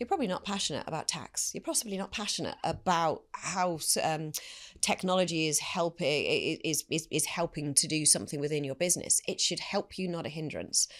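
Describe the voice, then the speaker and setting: On a very clean recording with a silent background, a woman with a slight British accent speaks at a fairly quick pace in a fairly low pitch, with ordinary pitch variation. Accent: slight UK. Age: 50s. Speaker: business executive. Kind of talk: interview.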